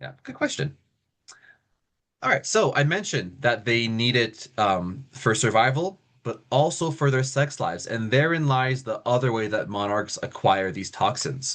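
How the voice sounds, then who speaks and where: A man speaks with medium pitch and lively intonation. The background is quiet. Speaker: lecturer on monarch biology. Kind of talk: lecture. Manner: fast; animated.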